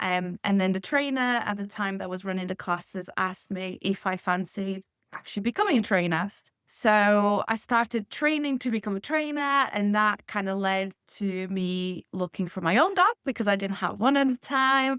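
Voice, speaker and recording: A woman speaks at a medium pitch and a moderate pace, with ordinary pitch variation. The sound is dry and close with no echo, in a very clean recording with a silent background. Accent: Portuguese. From Portugal. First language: Portuguese. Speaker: canine nutrition consultant. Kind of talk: podcast interview.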